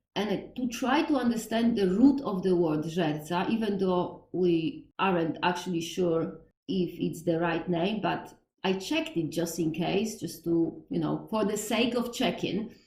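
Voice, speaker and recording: A woman's medium-pitched, somewhat breathy voice in a strong Polish accent, fairly slow and lively in intonation, with audible room echo. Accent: Polish, thick. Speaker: podcast host on Slavic religion. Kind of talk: educational monologue. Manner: halting, with self-corrections.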